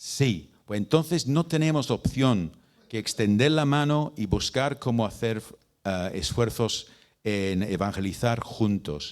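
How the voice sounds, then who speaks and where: A man with a British accent speaks at a very slow pace, medium in pitch, with lively intonation. The recording is very clean, with a silent background. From Britain. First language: English (speaking Spanish). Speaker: missionary and mission leader. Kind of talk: talk to church leaders. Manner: halting, with repeats and fillers.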